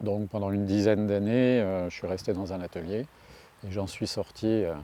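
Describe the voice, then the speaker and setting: This man's voice sits fairly low, with a dark, mellow tone. He keeps his intonation fairly even at a moderate pace. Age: 60s. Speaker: street artist. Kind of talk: interview. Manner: hesitant, many fillers and repetitions.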